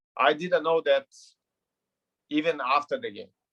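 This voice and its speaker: The speaker has a Brazilian Portuguese accent and a moderate pace, with ordinary pitch variation. The sound is dry and close, with no echo. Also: man. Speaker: retired footballer. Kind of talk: interview. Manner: halting, repeats words.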